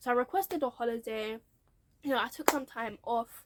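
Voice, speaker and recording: Very fast and lively, a woman speaks in a high pitch with a British accent. The recording is dry and close, with no echo. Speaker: YouTuber sharing career story. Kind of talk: casual vlog storytelling.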